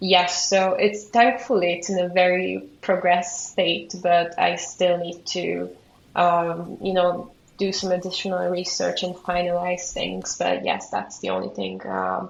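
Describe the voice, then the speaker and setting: With a Hungarian accent, a woman talks at a fairly slow pace. Background noise is noticeable. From Hungary. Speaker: museum studies graduate student. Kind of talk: interview.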